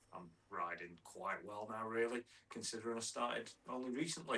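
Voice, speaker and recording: The voice is a man's, bright and sharp in tone. He speaks fairly quickly. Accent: northern English. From northern England (near Manchester). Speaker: mountain biking content creator. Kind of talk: casual chat.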